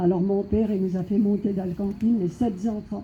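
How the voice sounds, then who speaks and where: Somewhat breathy and dark, mellow in tone, a woman talks at a moderate pace and medium pitch with fairly even intonation, and the room echo is audible. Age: 70s. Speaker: evangelical preacher. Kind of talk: sermon testimony.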